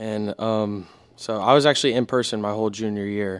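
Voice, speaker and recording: A man talks at a fairly quick pace with a medium pitch. His intonation is fairly even. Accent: American. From Houston, Texas. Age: young. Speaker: naval academy student. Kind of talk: casual chat.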